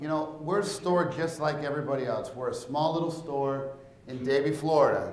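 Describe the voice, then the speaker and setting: With room echo audible, a man talks with fairly even intonation. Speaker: conference presenter. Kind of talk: presentation talk. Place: hall. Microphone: lapel.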